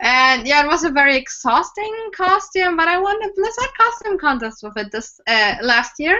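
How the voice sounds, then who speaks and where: With a German accent, a woman speaks at a high pitch with very wide pitch swings, keeping a moderate pace and hardly any pauses. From Germany. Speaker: cosplayer and prop maker. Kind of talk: casual interview chat.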